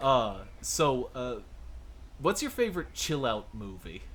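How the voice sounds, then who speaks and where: A man with a North American accent at a very slow pace, long, frequent pauses, big swings in loudness and audible room echo. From southern New Hampshire, Boston area. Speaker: VTuber interviewer. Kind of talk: interview. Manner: hesitant with fillers.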